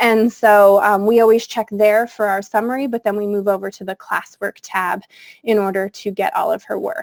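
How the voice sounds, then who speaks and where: A woman speaks in an ordinary speaking voice at medium pitch and a moderate pace, with fairly even intonation in a dry, close sound with no echo. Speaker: technology coach and former teacher. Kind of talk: webinar tutorial. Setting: video call.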